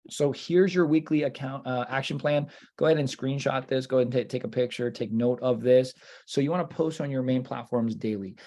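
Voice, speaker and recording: The speaker talks at a fairly quick pace with ordinary pitch variation. The tone is dark and mellow. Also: man, medium pitch for a man. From Northern Virginia, US. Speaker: real estate coach. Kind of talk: lecture. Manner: fast; animated.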